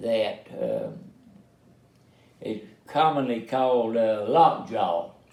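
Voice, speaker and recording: Audible room echo carries a man's medium-pitched voice. He talks at a very slow pace. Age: 80s+. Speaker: family elder telling life story. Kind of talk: casual family interview. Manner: halting, many fillers.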